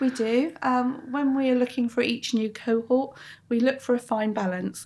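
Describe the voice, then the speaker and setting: A woman with a dark, mellow tone and a somewhat breathy voice talks at a moderate pace with fairly even intonation, in a very clean recording with a silent background. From Plymouth, south-west England. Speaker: head of training at a boatbuilder. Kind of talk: interview. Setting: on site at a yacht factory.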